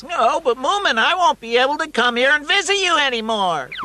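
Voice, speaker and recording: Over light background noise, a man puts on a cartoonish character voice, extremely high in pitch, at a fairly quick pace. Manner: nervous.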